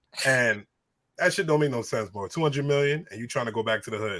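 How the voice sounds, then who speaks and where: Speaking at a very fast pace with an American accent, a man sounds animated, with a bright, sharp tone and ordinary pitch variation. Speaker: radio co-host and DJ. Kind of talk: casual chat.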